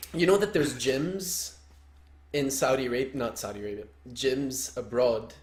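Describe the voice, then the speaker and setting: The man's somewhat breathy voice moves at a fairly slow pace. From Lebanon. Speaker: soccer coach, podcast co-host. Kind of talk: casual chat.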